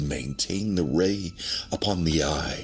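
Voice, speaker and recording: Music plays behind a man who speaks at a very slow pace. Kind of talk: ASMR horror story reading. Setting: binaural recording. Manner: not whispered.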